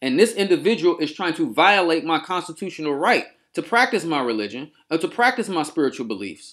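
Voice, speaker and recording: Fairly quick and nearly pause-free, a man talks at a high pitch. His pitch swings very widely. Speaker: spiritual practitioner and YouTuber. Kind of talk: angry rant to camera. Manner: loud, yelling at times.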